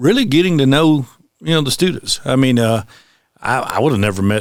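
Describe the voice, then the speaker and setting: Speaking fairly quickly with a Southern US accent, a man uses lively intonation at a medium pitch. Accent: Southern US (Georgia). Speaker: high school construction teacher. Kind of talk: interview. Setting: school. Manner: halting, many fillers.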